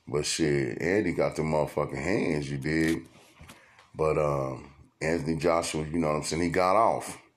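Against audible room echo, a man talks at a moderate pace with a very deep, low pitch and fairly even intonation. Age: 40s. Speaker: podcast host. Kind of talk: casual monologue. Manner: conversational with filler words.

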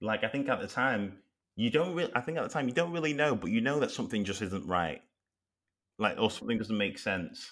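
With a Mancunian accent, a man talks at a fairly quick pace and medium pitch, with lively intonation. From Manchester, northern England. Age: 30s. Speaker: podcast guest discussing racism. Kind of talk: casual interview.

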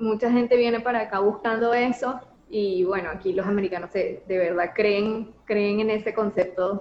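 In a Venezuelan accent, a woman speaks at a moderate pace with a fairly high pitch. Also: fairly even intonation. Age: 30s. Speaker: graduate student. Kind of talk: interview.

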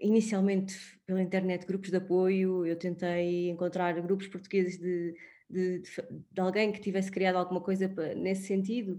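With a dark, mellow tone, the woman talks at a medium pitch. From Portugal, Sintra. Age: 30s. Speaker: widow and former wedding planner. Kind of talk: interview. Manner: halting.

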